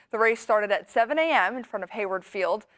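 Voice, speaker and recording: An unremarkable speaking voice from a woman, fairly high-pitched and at a fairly quick pace. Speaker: TV news anchor. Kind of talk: TV news anchor read. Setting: studio.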